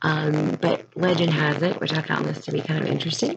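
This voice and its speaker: A woman speaks quietly over noticeable background noise. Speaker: middle school teacher. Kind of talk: presentation. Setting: at home, recording in her room. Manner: hesitant, many fillers.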